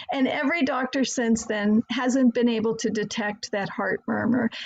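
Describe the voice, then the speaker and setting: In an unremarkable speaking voice, a woman talks with fairly even intonation and a fairly high pitch. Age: 60s. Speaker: herbalist. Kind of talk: slideshow presentation. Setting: video call.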